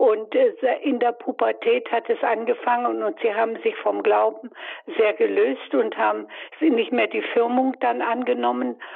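Noticeable background noise runs through the clip. A woman talks over it at a fairly slow pace. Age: 80s+. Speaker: caller. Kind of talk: phone-in question. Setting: phone call. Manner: halting.

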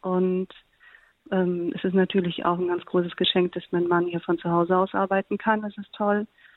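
A woman with a medium pitch keeps a monotone, flat intonation while talking at a moderate pace. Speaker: TV comedy writer and blogger. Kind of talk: interview testimony. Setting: remote call.

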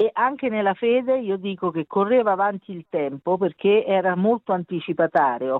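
Talking at a fairly quick pace with hardly any pauses, a woman with an Italian accent uses a medium pitch and lively intonation. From Italy. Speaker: mother of a beatified teen. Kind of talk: interview. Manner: halting.

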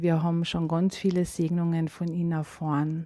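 A woman's dark, mellow voice. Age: 50s. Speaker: faith testimony giver. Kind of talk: testimony.

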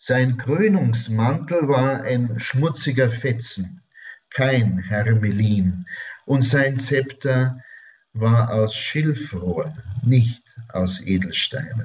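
Speaking at a very slow pace with very even loudness, a man uses ordinary pitch variation in a somewhat breathy voice. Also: medium pitch for a man. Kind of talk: spiritual talk. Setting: radio studio.

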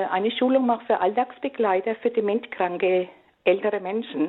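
A woman with an ordinary speaking voice talks at a moderate pace, her fairly high pitch carried in a fairly even intonation. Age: 60s. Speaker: caller. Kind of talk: phone-in testimony.

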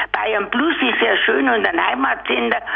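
A woman at a fairly slow pace, over noticeable background noise. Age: 80s+. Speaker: caller. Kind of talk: casual chat.

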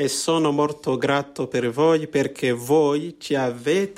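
A man with a fairly high pitch speaks at a very slow pace with ordinary pitch variation. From Rwanda. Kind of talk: interview via interpreter.

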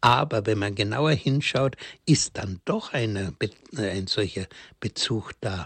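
With long, frequent pauses, a man talks at a very slow pace and a fairly low pitch. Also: ordinary pitch variation. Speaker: priest. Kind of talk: religious talk. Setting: remote line into radio studio.

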